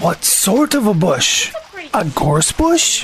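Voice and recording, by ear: Growling in a put-on character voice at a fairly high pitch, the speaker goes very slowly over clear background noise.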